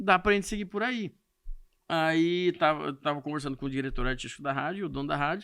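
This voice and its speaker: A man with a bright, sharp tone speaks at a fairly high pitch with ordinary variation on a very clean recording with a silent background. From Brazil, Mato Grosso do Sul interior, Corumbá region. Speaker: radio host and comedian. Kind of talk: podcast interview.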